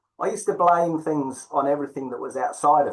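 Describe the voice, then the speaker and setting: Speaking at a fairly quick pace with a slight English accent, a man uses a fairly high pitch and ordinary pitch variation. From England. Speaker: tantra teacher. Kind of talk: interview. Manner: hesitant, many fillers.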